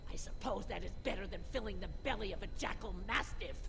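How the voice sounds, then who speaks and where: A female-sounding put-on character voice at a fairly quick pace, with loud background noise. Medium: machinima. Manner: grumbling, dry.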